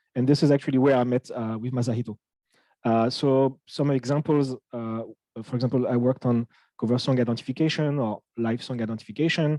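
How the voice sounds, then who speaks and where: At a fairly quick pace, the speaker uses a French accent, a dark, mellow tone and fairly even intonation, in a dry, close sound with no echo against a quiet background. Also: man, medium pitch for a man. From France. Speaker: audio research engineer. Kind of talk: technical lecture. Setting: talk with live interpreter. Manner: halting, many fillers.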